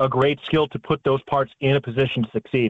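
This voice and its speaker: With an American accent, a man talks at a fairly quick pace. He has a normal speaking voice with fairly even intonation. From Chicago, Illinois. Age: 30s. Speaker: sports play-by-play announcer. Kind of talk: casual chat.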